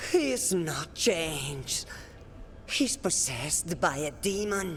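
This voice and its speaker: A woman's put-on character voice, fairly low in pitch and fairly slow, over clear background noise. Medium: video game.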